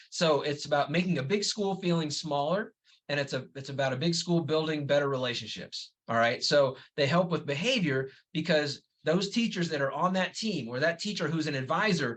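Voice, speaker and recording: The voice belongs to a man with a fairly high pitch. It shows ordinary pitch variation. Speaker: middle school administrator. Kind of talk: webinar presentation. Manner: fast; casual, conversational.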